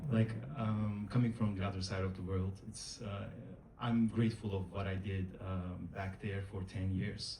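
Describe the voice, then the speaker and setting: A man talks in a monotone, flat delivery at a fairly low pitch. Audible room echo and noticeable background noise fill the recording. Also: moderate pace. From Turkey. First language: Turkish. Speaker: actor. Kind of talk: panel interview. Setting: stage with audience.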